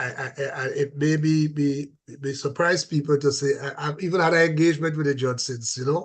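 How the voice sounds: A man with a fairly high pitch talks at a fairly quick pace with fairly even intonation.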